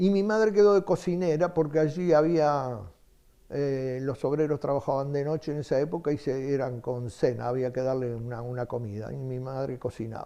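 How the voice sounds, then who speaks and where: In a Uruguayan accent, a man with a fairly high pitch and a dark, mellow tone speaks with ordinary pitch variation. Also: moderate pace. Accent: Uruguayan Spanish (Rioplatense). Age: 80s+. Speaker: retired book salesman. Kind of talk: interview testimony. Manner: hesitant, with many fillers.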